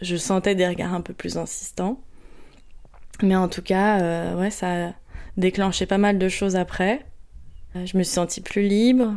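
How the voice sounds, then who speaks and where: At a fairly slow pace, a woman speaks in a medium pitch with fairly even intonation, leaving long, frequent pauses. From Paris region, France. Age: 30s. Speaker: meditation practitioner sharing her story. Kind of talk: testimony. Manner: halting, many fillers and repetitions.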